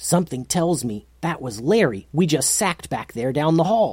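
In a put-on character voice, a man speaks at a moderate pace with a fairly high pitch and very wide pitch swings. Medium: read story.

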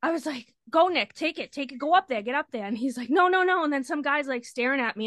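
A woman talks at a very fast pace in a Boston accent with lively intonation, the sound dry and close with no echo over a quiet background. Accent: Boston area. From Massachusetts, Lynn. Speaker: friend of the hosts, concertgoer. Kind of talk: casual storytelling.

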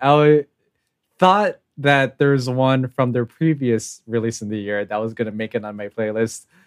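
This is an unremarkable speaking voice. The pace is fairly slow. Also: man, dry, close sound with no echo. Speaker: podcast co-leader. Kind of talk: casual chat.

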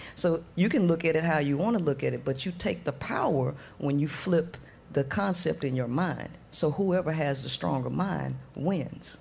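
A woman's very deep, low voice with vocal fry, ordinary pitch variation and a moderate pace. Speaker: women's empowerment coach. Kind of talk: casual panel chat.

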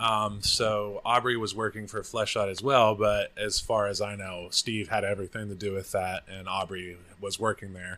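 A man's fairly low, bright and sharp voice with an American accent, monotone and flat, at a moderate pace. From Oklahoma, US. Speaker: forex trader. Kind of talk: casual interview. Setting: apartment.

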